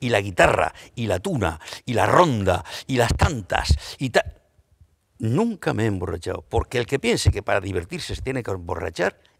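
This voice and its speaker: Very wide pitch swings mark this man's speech. His voice sits fairly low and sounds somewhat breathy. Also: very clean recording, silent background. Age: 60s. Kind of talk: panel discussion. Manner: animated.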